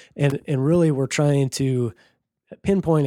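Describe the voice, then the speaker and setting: An unremarkable speaking voice: a man with an American accent, fairly quick pace and fairly even intonation. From rural Minnesota. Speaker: rainwater harvesting business owner. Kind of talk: casual interview.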